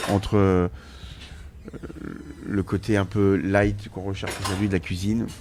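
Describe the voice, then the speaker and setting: At a fairly slow pace, a man speaks in a very deep, low pitch with monotone, flat intonation. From Brittany, Redon. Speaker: chef and restaurant owner. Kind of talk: casual interview. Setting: restaurant counter. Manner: hesitant, many fillers and repetitions.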